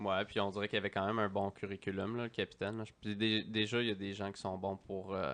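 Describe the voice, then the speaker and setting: A man with a Quebec accent speaks very fast, with hardly any pauses. His fairly low voice stays monotone and flat. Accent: Québécois French. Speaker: podcast host. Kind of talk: casual interview. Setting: studio.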